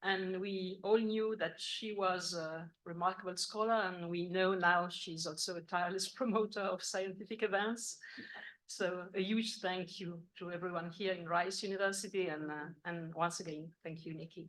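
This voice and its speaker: This woman talks at a moderate pace, her pitch medium. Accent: French. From France. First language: French. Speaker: philosophy professor. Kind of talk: academic lecture. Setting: university conference with audience. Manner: formal.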